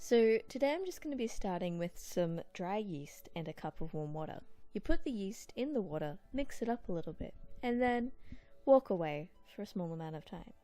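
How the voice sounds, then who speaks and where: A soft-spoken woman with a dark, mellow tone talks at a medium pitch in a playful way. Her pitch swings very widely. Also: moderate pace. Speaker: lifestyle vlogger. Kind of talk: cooking tutorial. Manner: casual, playful.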